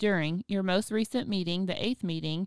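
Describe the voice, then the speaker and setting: A woman's plain, everyday voice at a medium pitch and moderate pace, with fairly even intonation, dry and close with no echo, on a very clean recording with a silent background. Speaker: podcast host and biblical counselor. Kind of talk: casual chat and case-study discussion.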